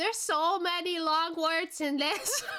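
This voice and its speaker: A woman projects her voice at an extremely high pitch, bright and sharp in tone, at a fairly slow pace. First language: not English. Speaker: vtuber streamer. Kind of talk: reading game text aloud. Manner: halting over long words.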